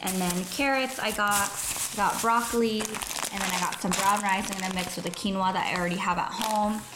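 A woman talks with fairly even intonation while noticeable noise is heard behind her. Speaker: lifestyle vlogger. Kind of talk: casual vlog chat. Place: kitchen. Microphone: phone near.

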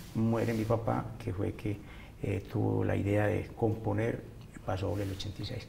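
Someone speaks at a fairly slow pace with fairly even intonation over light background noise. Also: man, fairly low pitch for a man. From Colombia, Manzanares, Caldas; Caldas, Colombia. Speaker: musician; interviewee. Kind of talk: interview. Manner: halting. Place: studio.

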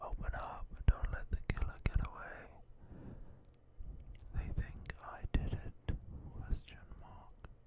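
A man whispering at a very slow pace, dry with no echo, over loud background noise. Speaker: gaming video creator. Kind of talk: gameplay commentary, reading game dialogue aloud. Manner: whispered reading of subtitles. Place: home room. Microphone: studio mic.

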